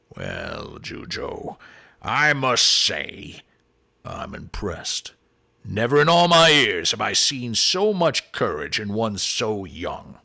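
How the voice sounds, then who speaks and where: In a raspy, put-on character voice, a man with a fairly high pitch speaks very slowly in a raised, projected voice. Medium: read story. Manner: commanding, loud.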